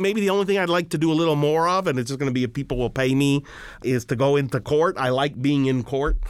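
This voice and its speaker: A very fast-talking man with an American accent and a fairly high pitch. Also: ordinary pitch variation, very even loudness. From Miami, Florida. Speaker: immigration attorney. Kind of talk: interview.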